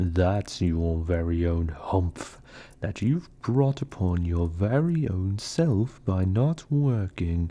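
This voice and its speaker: A man puts on a character voice with a very deep, low pitch. He talks at a very slow pace against a quiet background. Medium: read story. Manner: wry, stern.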